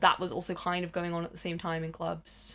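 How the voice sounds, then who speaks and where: A woman is speaking. She has a British accent. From Britain. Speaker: music video essayist. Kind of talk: casual video essay commentary. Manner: animated.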